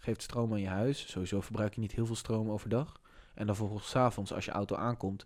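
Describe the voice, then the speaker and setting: A man speaks with an unremarkable speaking voice at a fairly low pitch. His intonation stays fairly even. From Amersfoort, Netherlands. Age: 20s. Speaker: podcast host. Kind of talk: casual chat.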